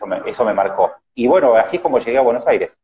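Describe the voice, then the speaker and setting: A man at a moderate pace. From Argentina, small Patagonian town. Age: 40s. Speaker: tango and folk dance teacher. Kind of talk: casual interview. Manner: halting, many repetitions.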